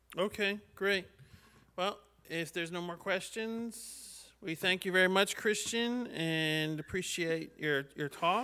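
A man's raised, projected voice with a bright, sharp tone, ordinary pitch variation and a very slow pace. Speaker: event host. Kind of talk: Q&A moderation. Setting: video call. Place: meeting room. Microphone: podium.

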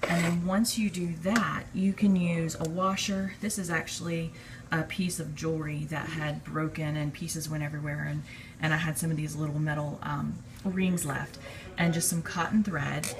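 Noticeable background noise runs under a woman's fairly low voice. She keeps a moderate pace with fairly even intonation. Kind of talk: casual tutorial. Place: kitchen. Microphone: phone near.

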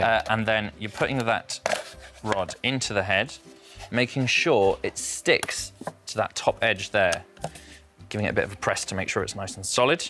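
A man speaks at a moderate pace with a fairly low pitch and ordinary pitch variation, leaving long, frequent pauses. Music plays in the background. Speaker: puppeteer. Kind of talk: TV craft demonstration, guest explaining steps. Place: studio. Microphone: lapel.

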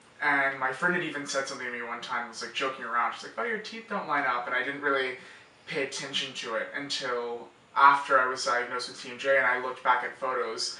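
A man talks at a very fast pace with ordinary pitch variation, big swings in loudness and audible room echo. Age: young. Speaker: college student. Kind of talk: patient testimonial interview answer. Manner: casual, hesitant with fillers. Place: office.

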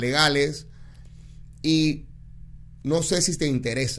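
At a fairly high pitch, a man speaks with ordinary pitch variation. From Panama. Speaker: DJ and political candidate; radio DJ, candidate. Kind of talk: interview. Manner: plain-spoken. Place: studio. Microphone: studio mic.

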